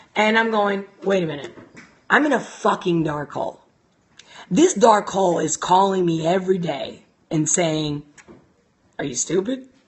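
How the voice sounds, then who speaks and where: With an animated tone and lively intonation, a woman speaks at a medium pitch and a moderate pace, leaving long, frequent pauses. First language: not English. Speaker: life coach. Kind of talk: casual live-stream talk. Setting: live stream.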